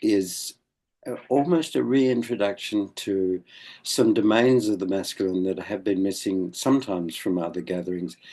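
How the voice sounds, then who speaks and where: At a fairly slow pace, a man speaks with a very deep, low pitch and a dark, mellow tone, his pitch moving in an ordinary way. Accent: Australian. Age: 80s+. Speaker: elder of a men's movement. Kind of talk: interview. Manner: halting.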